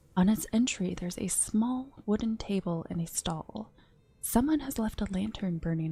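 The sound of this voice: Reading in an unforced voice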